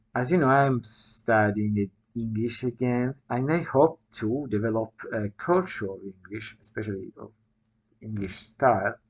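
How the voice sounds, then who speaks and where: The speaker has an Italian accent and talks at a fairly slow pace. The background is quiet. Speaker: writer and video blogger. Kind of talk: casual talk to camera. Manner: halting, many fillers.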